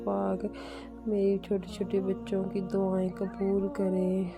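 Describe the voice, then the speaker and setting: With music playing behind her, this woman's voice sits at a medium pitch. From Pakistan. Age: 20s. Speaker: housewife and family vlogger. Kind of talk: casual vlog narration.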